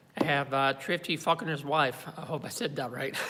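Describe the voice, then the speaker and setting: Very fast and fairly high-pitched, a man talks with a slight French Canadian accent. His tone is bright and sharp, and his intonation stays fairly even. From Quebec, Montreal. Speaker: YouTuber. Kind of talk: live stream talk. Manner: halting, many fillers.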